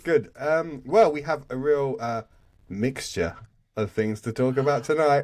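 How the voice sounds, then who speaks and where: With a British accent, a man talks at a fairly slow pace with lively intonation. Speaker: podcast host. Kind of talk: casual chat.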